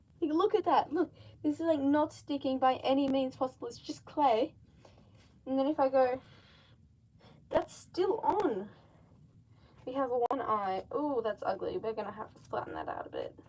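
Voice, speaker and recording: A woman's high-pitched voice with a slight Australian accent, lively intonation, a moderate pace and long, frequent pauses. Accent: Australian, slight (own view). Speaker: mask maker livestreamer. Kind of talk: casual livestream chat while crafting. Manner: animated.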